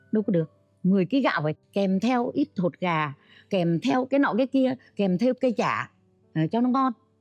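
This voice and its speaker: The speech moves at a moderate pace. Faint music plays in the background. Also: woman. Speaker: talk show guest. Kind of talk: interview answer. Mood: animated storytelling. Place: studio. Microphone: lapel.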